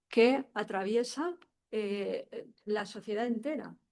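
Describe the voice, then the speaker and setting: A woman's fairly high-pitched voice. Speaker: sociologist panelist. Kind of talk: conference talk. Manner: slow.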